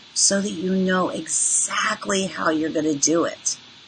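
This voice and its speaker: A woman speaks at a fairly slow pace in an animated tone, her pitch medium. Noticeable background noise runs underneath. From moved around as a child: New York, Panama, Tokyo. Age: 60s. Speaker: financial coach. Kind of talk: webinar presentation.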